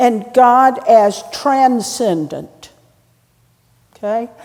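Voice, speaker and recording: With a North Carolina accent, a woman talks in a high voice with lively intonation. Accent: Southern US (North Carolina). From North Carolina, Hickory. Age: 70s. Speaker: priest. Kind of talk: sermon. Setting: church. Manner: conversational, with hesitations.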